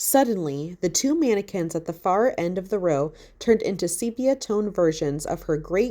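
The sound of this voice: An unforced reading voice carries lively intonation.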